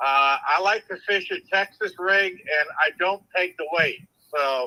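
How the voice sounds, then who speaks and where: A man's raised, projected voice, high-pitched with a bright, sharp tone, at a fairly slow pace with ordinary pitch variation and a dry, close sound with no echo. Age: 60s. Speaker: caller. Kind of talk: casual chat.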